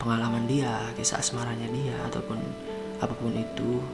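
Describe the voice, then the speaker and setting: A man speaks in a relaxed tone at a medium pitch. Music plays in the background. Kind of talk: asmr bedtime story, storytelling to the listener. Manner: soft, relaxed, slow.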